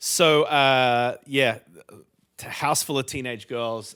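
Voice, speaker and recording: This man has a bright, sharp tone and an Australian accent. He speaks at a very slow pace. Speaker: pastor. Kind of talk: casual interview.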